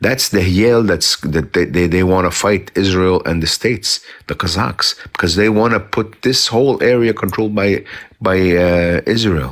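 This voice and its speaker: Fairly low in pitch, a man talks with an Arabic accent at a moderate pace with ordinary pitch variation. His loudness stays very even. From South Lebanon. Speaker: commentator in a live chat. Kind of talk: casual live chat. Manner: halting, many repetitions; animated.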